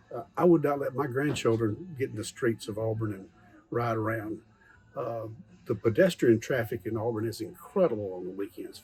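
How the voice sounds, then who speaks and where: There is music in the background. A man talks in a Southern US accent. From Alabama. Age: 70s. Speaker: local business owner. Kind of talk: interview.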